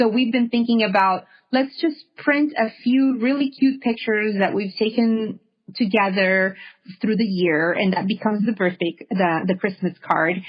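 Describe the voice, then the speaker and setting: With very even loudness, a woman talks at a moderate pace in a fairly high, somewhat breathy voice with ordinary pitch variation. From Honduras. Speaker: podcast host, yoga and meditation guide. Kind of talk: casual interview conversation.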